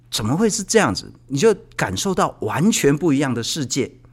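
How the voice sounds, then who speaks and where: A man talks in a fairly high pitch with vocal fry. His pitch swings very widely. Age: 50s. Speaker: podcast host. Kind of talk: casual interview.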